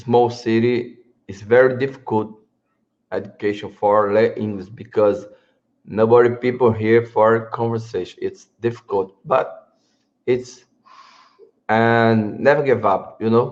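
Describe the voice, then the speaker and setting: At a fairly slow pace, a man with a Brazilian accent talks at medium pitch in a monotone, flat intonation, leaving long, frequent pauses. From Northeast Brazil. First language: Portuguese. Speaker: English learner. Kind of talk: casual chat. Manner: halting.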